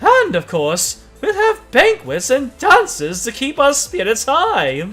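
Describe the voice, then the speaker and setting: A put-on character voice with a high pitch speaks at a fairly slow pace over faint music in the background. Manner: regal, cheerful.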